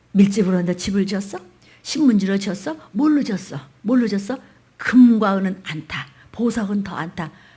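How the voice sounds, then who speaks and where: Against a quiet background, a somewhat breathy voice with a dark, mellow tone and ordinary pitch variation moves through big swings in loudness. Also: woman, medium pitch for a woman. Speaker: pastor. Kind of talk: sermon. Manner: fast; animated.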